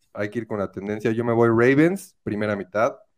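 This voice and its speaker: A man with a central Mexican accent talks at a medium pitch in a very clean recording with a silent background. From Mexico, Querétaro. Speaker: sports betting tipster. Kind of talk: casual chat. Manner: animated.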